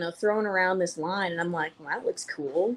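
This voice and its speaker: Here a woman speaks. She talks in a Georgia accent. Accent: Southern (Georgia). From Missouri. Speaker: fly fishing group organizer. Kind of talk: casual chat. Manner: animated.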